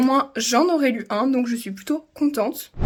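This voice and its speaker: Here is a woman with a high pitch. Her pitch shifts in an ordinary way. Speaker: vlogger. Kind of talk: vlog diary. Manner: fast.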